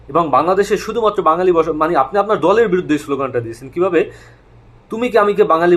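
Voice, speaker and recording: A high-pitched man speaks with lively intonation. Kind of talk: monologue commentary.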